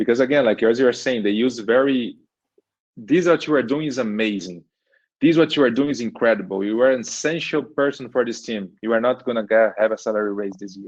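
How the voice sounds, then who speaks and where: A Portuguese accent, ordinary pitch variation, and a fairly quick pace. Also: man, medium pitch for a man. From Brazil. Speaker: engineering manager. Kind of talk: podcast interview. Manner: repeats words, halting.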